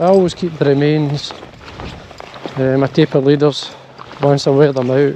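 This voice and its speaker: Over noticeable background noise, a man with a Scottish accent talks at a moderate pace, his pitch fairly high and his intonation fairly even. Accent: Scottish (Ayrshire). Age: 60s. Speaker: fly fishing vlogger. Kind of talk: casual outdoor vlog narration. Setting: outdoors, hills.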